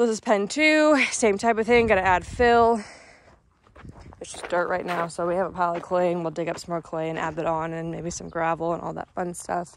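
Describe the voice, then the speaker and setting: A woman speaks with fairly low pitch and ordinary pitch variation, her voice dry with no echo over light background noise. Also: fairly quick pace. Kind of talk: casual vlog chat. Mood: excited, upbeat. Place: farm machine. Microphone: phone near.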